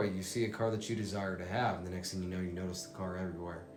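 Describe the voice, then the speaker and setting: A man's voice carries audible room echo, with music playing in the background. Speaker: motivational speaker. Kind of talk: motivational talk.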